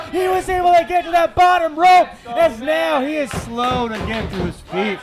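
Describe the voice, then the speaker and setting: Against crowd noise in the background, a man talks at a moderate pace in an extremely high pitch with lively intonation. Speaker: wrestling announcer and commentator. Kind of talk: live wrestling match call.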